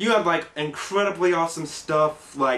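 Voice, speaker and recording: A fairly slow pace from a man. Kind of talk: comedic staged phone-call monologue. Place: home room.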